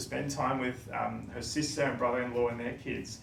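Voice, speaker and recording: There is audible room echo and noticeable background noise as a man talks with an Australian accent. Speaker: coffee shop owner. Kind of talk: presentation talk. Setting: stage with audience. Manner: fast.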